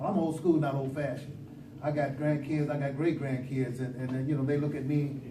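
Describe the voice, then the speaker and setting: A fairly high male voice with audible room echo and noticeable background noise. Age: 60s. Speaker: business owner applying for a license. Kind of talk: public meeting presentation. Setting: village board meeting. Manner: halting, many fillers.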